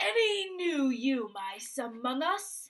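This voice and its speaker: A woman uses a loud, put-on character voice, high in pitch. She speaks very slowly, with very wide pitch swings. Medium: read story. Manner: commanding, curt.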